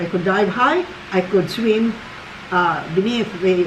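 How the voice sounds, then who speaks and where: The speech moves at a very slow pace. Audible room echo and noticeable background noise fill the recording. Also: woman. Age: 70s. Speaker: grandmother. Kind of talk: casual chat.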